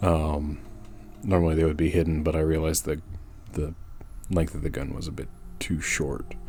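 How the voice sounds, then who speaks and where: Over music in the background, a man with a very deep, low pitch speaks with fairly even intonation and long, frequent pauses. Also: moderate pace. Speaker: illustrator. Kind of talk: drawing process narration. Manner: casual, hesitant, many fillers.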